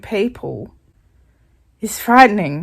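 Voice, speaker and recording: The speaker talks with an Australian accent. The recording is very clean, with a silent background. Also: woman. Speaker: student vlogger. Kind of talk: vlog.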